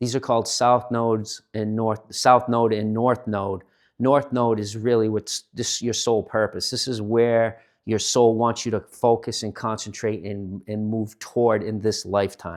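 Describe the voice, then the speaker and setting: A man with a Massachusetts accent speaks at a medium pitch and fairly slow pace. His intonation is monotone and flat on a very clean recording with a silent background. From central Massachusetts. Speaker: astrology reader and life coach. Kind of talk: casual monologue to camera. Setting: home studio with sound bath equipment. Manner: hesitant, many fillers.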